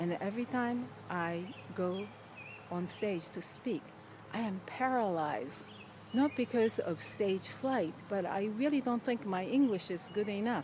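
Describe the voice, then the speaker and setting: With a Japanese accent, a woman talks at a fairly slow pace with lively intonation. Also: medium pitch for a woman. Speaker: motivational video host. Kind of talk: motivational talk.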